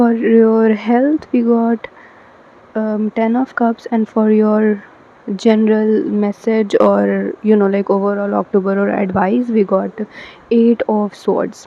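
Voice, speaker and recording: With a non-native accent, a woman speaks at a very slow pace and a fairly high pitch, her intonation fairly even, over noticeable background noise. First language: not English. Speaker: tarot reader. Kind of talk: tarot card reading to camera. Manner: hesitant, many fillers.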